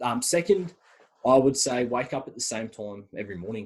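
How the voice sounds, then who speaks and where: A man with an Australian accent and ordinary pitch variation. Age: 20s. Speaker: university student. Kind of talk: podcast interview. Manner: fast.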